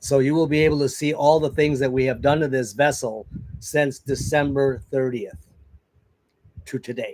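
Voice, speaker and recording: Here is an ordinary speaking voice from a man, pitched fairly high. He keeps a moderate pace and a fairly even intonation. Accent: American. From US Midwest, northern Wisconsin. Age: 60s. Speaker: sailing vlogger. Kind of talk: casual chat. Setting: livestream.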